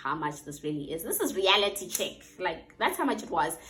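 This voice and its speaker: A woman with a South African accent, fairly low in pitch, at a moderate pace amid audible room echo. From South Africa, rural Limpopo. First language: Northern Sotho (Sepedi). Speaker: vlogger and English teacher. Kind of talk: casual vlog talk to camera.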